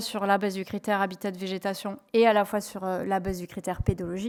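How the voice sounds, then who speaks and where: A woman is talking. Her pace is moderate. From southwest France. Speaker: renewable energy company environmental manager. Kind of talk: conference presentation. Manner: hesitant, many fillers.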